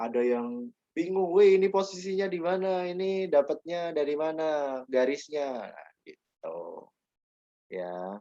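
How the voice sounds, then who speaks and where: Speaking very slowly with lively intonation, a man has a Yogyakarta accent. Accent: Javanese (Yogyakarta) accent, somewhat strong. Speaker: teacher. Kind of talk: online class lecture. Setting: video call.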